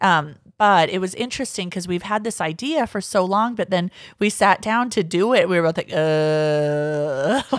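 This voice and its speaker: On a very clean recording with a silent background, a woman uses a plain, everyday voice at a moderate pace with lively intonation. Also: medium pitch for a woman. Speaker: podcast host. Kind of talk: casual chat.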